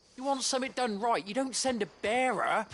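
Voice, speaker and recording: A woman does a gruff, put-on character voice at a high pitch. She moves at a fairly quick pace with ordinary pitch variation. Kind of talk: video game voice acting. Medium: video game. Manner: gruff, swearing, hostile.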